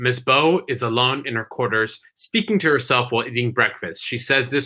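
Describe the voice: Lively intonation in plain reading aloud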